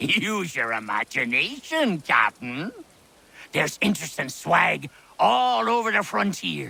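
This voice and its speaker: A man puts on a character voice at a fairly high pitch. His pace is fairly slow. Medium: video game. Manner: salty pirate slang, sly, mocking.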